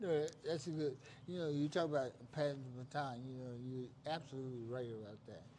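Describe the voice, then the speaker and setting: With audible room echo around him, a man talks at a fairly quick pace with fairly even intonation. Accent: American. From West Virginia. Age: 70s. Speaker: stream host. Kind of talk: casual chat.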